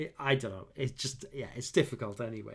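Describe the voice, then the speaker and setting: A man's somewhat breathy voice is captured in a very clean recording with a silent background. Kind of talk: unscripted monologue to camera. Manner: halting, many fillers and restarts.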